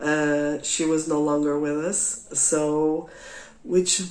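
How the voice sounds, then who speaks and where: A woman with a Portuguese accent speaks at a very deep, low pitch and a very slow pace. Audible room echo surrounds her voice. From Portugal. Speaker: craft podcaster. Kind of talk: casual monologue. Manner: halting, many fillers.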